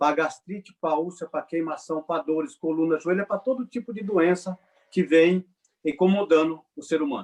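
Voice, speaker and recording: Here a man speaks at a high pitch. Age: 40s. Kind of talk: webinar talk.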